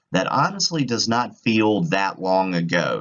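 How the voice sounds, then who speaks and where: A man with a Virginian accent speaks at a fairly slow pace, his pitch fairly low. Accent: rural Virginian. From rural Virginia, Halifax County. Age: 30s. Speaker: graduate student presenter. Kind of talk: student presentation. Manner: casual, with some stumbles.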